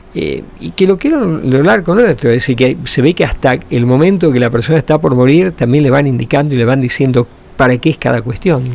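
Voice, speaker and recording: A man at a medium pitch and fairly quick pace, hardly any pauses, ordinary pitch variation, and noticeable background noise. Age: 70s. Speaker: radio host. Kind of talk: radio interview.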